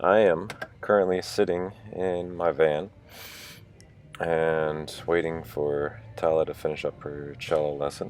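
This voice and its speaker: With noticeable noise behind him, a man talks in a very deep, low voice with fairly even intonation. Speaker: vlogger. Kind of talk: casual video diary. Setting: in a parked van. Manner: casual with many fillers.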